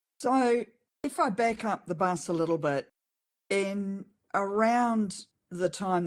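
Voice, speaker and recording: In a very clean recording with a silent background, a woman talks with a New Zealand accent. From New Zealand, Auckland. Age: 60s. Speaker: farmer. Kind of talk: interview. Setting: podcast interview.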